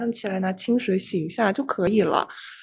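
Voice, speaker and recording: The speaker talks at a fairly quick pace with ordinary pitch variation. Noticeable background noise is present. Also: woman. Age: 20s. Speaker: podcast host, medical student. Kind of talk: casual chat.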